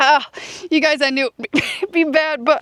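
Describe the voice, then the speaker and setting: Recorded with a dry, close sound and no echo but noticeable background noise, a woman talks with fairly even intonation. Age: 50s. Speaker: dump truck company owner and farmer. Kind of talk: casual talk to camera.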